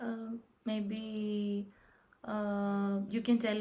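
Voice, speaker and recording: A woman speaks in a Greek accent. Noticeable background noise runs under her voice. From Greece. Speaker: discussion moderator. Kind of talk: casual discussion.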